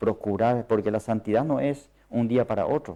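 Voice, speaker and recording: A man speaks with a non-native accent at a medium pitch. His tone is dark and mellow. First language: not Spanish (speaking Spanish). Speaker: preacher. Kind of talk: sermon. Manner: halting.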